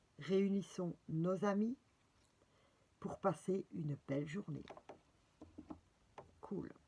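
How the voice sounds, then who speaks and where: A woman speaks at a very slow pace. Her voice is somewhat breathy and medium in pitch. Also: ordinary pitch variation. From Belgium. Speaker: spiritual guidance presenter, card reader. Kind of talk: casual guidance video with reading aloud. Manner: hesitant, many fillers.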